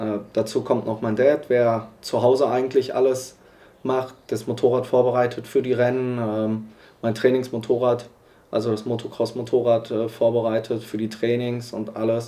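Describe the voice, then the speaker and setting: Speaking at a moderate pace with a medium pitch, a man has a dark, mellow tone and monotone, flat intonation. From western Germany, Iserlohn (Sauerland). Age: 20s. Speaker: motorcycle racer. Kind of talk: documentary interview. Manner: hesitant, many fillers.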